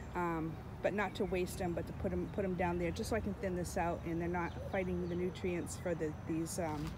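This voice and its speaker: A woman speaks over noticeable background noise, with a dry sound and no echo. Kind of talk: casual vlog chat. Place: garden. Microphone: phone near.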